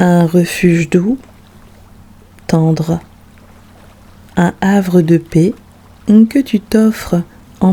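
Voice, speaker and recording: Long, frequent pauses fill the speech. Everything moves at a very slow pace. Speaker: meditation guide. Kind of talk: guided sleep meditation.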